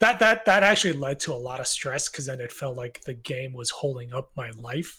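A man's normal speaking voice at a medium pitch, fairly quick, with lively intonation and big swings in loudness. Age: 30s. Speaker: indie game developer. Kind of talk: casual interview. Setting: Discord voice call.

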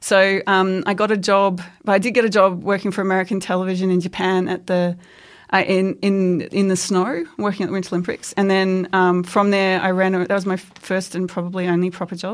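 Speaking in an Australian accent at medium pitch, a woman talks at a fairly quick pace with monotone, flat intonation on a very clean recording with a silent background. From Australia, Queensland. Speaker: historian, research fellow. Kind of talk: interview. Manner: halting.

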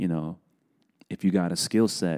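A man speaks at a moderate pace in a very deep, low pitch with ordinary pitch variation and a dark, mellow tone. The recording is very clean, with a silent background. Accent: New York. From New York City, South Bronx. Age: 40s. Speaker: animation director. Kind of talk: casual chat.

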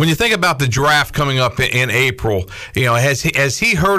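A man talks fairly quickly in lively intonation while noticeable background noise plays behind him. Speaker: sports radio host.

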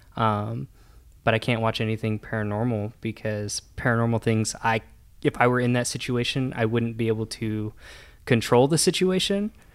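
This man has a US Midwestern accent and talks at a moderate pace with a medium pitch and ordinary pitch variation. The recording is very clean, with a silent background. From Nebraska, US Midwest. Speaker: brand marketing staff. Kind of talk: personal storytelling.

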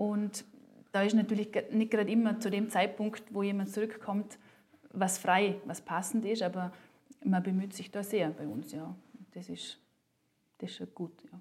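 A woman's medium-pitched voice with vocal fry, fairly even intonation, big swings in loudness, a moderate pace and long, frequent pauses. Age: 30s. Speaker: working mother and coach. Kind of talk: interview. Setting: office. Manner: hesitant, many fillers.

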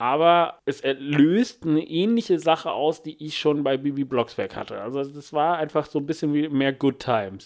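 A man with an unremarkable speaking voice talks at a moderate pace with hardly any pauses, his pitch fairly high. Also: ordinary pitch variation. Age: 20s. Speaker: podcast co-host. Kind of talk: casual chat.

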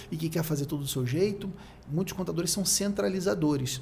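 Very fast and fairly high-pitched, a man's voice shows ordinary pitch variation. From Rio de Janeiro, Brazil. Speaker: accounting consultant and content creator. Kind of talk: casual interview chat.

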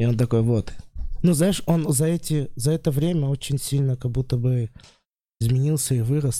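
At a fairly quick pace, a man speaks with a dark, mellow tone at a medium pitch. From Russia, Vladimir region. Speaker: stand-up comedian. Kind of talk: casual chat.

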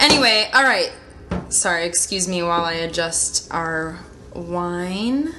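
Speaking at a fairly slow pace, a woman with a fairly low pitch and lively intonation is heard amid audible room echo and noticeable background noise. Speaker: podcast co-host. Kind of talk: casual chat. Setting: in a bathtub.

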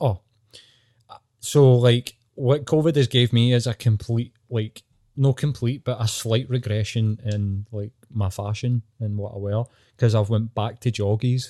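Recorded very cleanly against a silent background with a dry, close sound and no echo, a man with a dark, mellow tone and medium pitch speaks at a fairly slow pace with fairly even intonation. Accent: Scottish. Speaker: podcast co-host. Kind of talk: casual chat. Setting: in bed at home.

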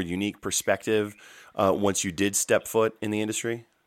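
A man with an American accent speaks at a fairly low pitch in a flat monotone, recorded with a dry, close sound and no echo. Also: very clean recording, silent background. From North Carolina, US. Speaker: podcast host. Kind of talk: interview.

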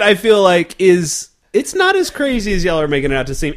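A man talks loudly with an American accent. He moves at a fairly quick pace. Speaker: beer podcast host. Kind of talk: casual chat.

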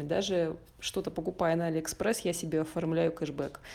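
Fairly low in pitch, a woman's voice has a dark, mellow tone. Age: 20s. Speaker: podcast co-host. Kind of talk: casual chat.

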